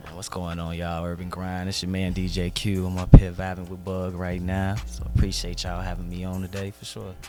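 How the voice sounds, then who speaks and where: With music in the background, a man with a very deep, low pitch talks at a fairly quick pace with hardly any pauses. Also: big swings in loudness. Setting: radio. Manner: upbeat, casual, friendly.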